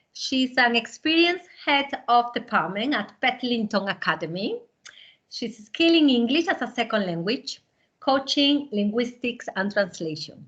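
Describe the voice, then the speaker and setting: A woman with a Spanish accent speaks at a moderate pace in a high pitch, her voice making very wide pitch swings. The background is quiet. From southern Spain. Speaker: language teacher and webinar host. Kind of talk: webinar presentation.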